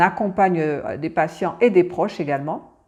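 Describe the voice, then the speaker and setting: A woman's fairly low voice rises and falls with ordinary pitch variation. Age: 60s. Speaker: cancer patient expert and advocate. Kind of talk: testimony. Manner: halting, many hesitations and repetitions.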